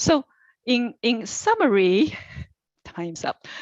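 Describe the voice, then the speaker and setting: A woman speaks with a non-native accent against a quiet background. The sound is dry and close with no echo. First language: not English. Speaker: commission applicant. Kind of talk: interview answer. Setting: virtual meeting. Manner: deliberate, tries not to rush.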